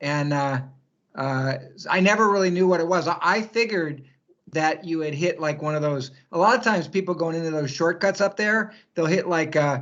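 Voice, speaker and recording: A man talks at a moderate pace. His pitch is high, with ordinary variation. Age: 60s. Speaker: trail runner. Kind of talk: casual chat.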